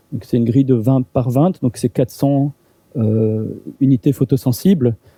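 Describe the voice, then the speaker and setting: A man talks with ordinary pitch variation at a medium pitch. His voice is somewhat breathy. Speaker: university lecturer. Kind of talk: lecture. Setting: seminar room with audience. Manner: halting, many repetitions and fillers.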